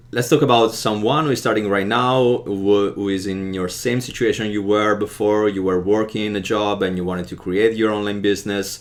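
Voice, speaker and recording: Amid noticeable background noise, a man with an Italian accent talks at a fairly quick pace with hardly any pauses, his fairly low voice keeping fairly even intonation. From Italy. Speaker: podcast host. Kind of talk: interview. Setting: live video.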